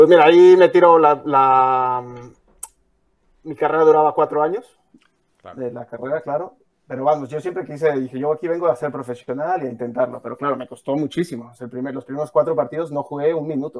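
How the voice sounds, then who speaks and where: A man with a normal speaking voice talks at a fairly high pitch and a fairly quick pace. His intonation stays fairly even while his loudness swings widely. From Mexico. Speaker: footballer. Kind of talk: casual chat. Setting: livestream.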